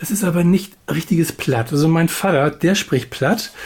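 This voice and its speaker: A man talks in a high voice. His pitch variation is ordinary. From Hamburg. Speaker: podcast co-host. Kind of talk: casual chat. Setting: remote call.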